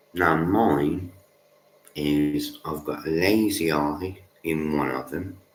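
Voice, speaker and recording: A man's very deep, low voice at a very slow pace, fairly even in intonation, with audible room echo. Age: adult. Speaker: livestreamer. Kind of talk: casual monologue.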